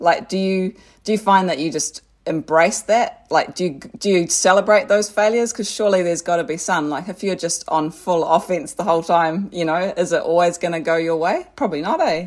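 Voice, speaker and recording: A woman speaks with a New Zealand accent and a fairly low pitch. Her pace is fairly quick. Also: ordinary pitch variation. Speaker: podcast co-host. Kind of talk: casual interview chat.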